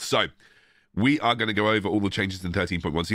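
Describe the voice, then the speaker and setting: A man talks at a very fast pace. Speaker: gaming content creator. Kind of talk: patch notes breakdown video. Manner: casual, chatty.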